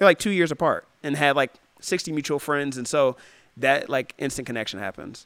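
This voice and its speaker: Delivered at a fairly quick pace with ordinary pitch variation, a plain, everyday voice comes through on a very clean recording with a silent background and a dry, close sound with no echo. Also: man, fairly high pitch for a man. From US Midwest, Ohio. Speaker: run club founder. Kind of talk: casual chat.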